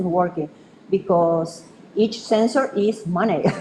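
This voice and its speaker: A woman with a Spanish accent, speaking at a fairly slow pace. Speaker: researcher presenting a project. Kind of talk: conference presentation. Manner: halting, many fillers.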